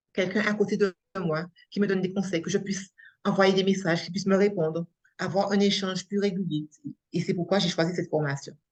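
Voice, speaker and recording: A somewhat breathy woman of medium pitch talks at a fairly quick pace with monotone, flat intonation. Long, frequent pauses break up her speech. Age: 60s. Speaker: coaching trainee, unemployed after burnout. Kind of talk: testimony interview. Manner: halting.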